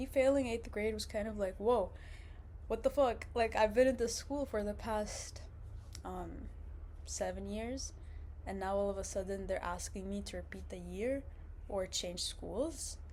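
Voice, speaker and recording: A woman with an Arabic accent talks at a fairly slow pace, leaving long, frequent pauses. Audible room echo is present. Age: 20s. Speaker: vlogger, university student. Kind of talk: casual vlog monologue. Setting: indoors, seated on a couch. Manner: casual, many fillers and restarts.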